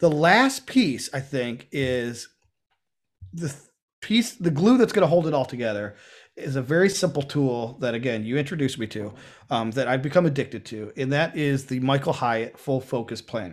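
Here is a man with a plain, everyday voice, fairly high in pitch and lively in intonation. He keeps a moderate pace on a very clean recording with a silent background. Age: 50s. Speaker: podcast co-host. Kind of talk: casual chat.

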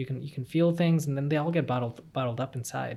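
A man with an American accent, somewhat breathy, at a fairly quick pace with fairly even intonation. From Texas. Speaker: medical student. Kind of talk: interview.

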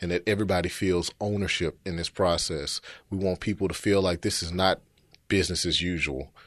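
A man with a Memphis accent speaks in a very deep, low voice with fairly even intonation. The background is quiet. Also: dry, close sound with no echo. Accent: Southern US (Memphis). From Memphis, Tennessee. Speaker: city housing official. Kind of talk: interview.

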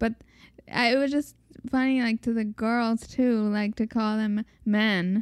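A woman with an American accent speaks in a fairly high pitch, monotone and flat, at a fairly slow pace with long, frequent pauses and very even loudness. The sound is dry and close with no echo, on a very clean recording with a silent background. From Mexican American. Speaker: podcast co-host. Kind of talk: casual chat. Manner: soft-spoken.

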